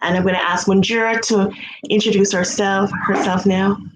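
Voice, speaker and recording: A woman in a Jamaican accent at a fairly quick pace. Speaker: music education researcher. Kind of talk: conference presentation.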